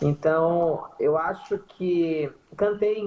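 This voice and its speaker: A woman speaks in a plain, everyday voice with a fairly low pitch. Her pitch varies in an ordinary way. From Bahia interior (sertão), Brazil. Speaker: singer in a band. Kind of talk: casual interview. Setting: Instagram live video call.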